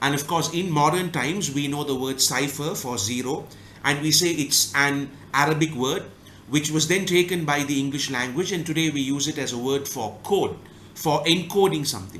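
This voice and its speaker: A man with a Tamil accent speaks at a fairly high pitch. His pitch varies in an ordinary way, and the room echo is audible. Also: moderate pace. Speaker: book review YouTuber. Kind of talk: casual analytical monologue.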